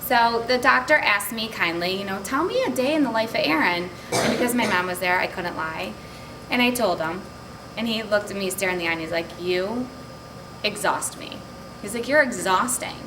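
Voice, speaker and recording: Delivered at a fairly quick pace with lively intonation, the speech comes through noticeable background noise and audible room echo. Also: woman, medium pitch for a woman. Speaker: direct sales consultant. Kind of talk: testimony. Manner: fast.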